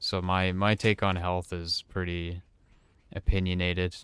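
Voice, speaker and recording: A man speaks fairly slowly with a very deep, low pitch. His flat, monotone delivery sits over a quiet background. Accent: American. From US East Coast. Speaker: video game streamer. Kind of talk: live gameplay stream chat. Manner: casual, rambling with hesitations.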